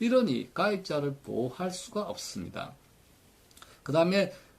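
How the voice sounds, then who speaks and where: A man speaks at a high pitch with very wide pitch swings over noticeable background noise. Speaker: retirement pension commentator. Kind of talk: commentary lecture.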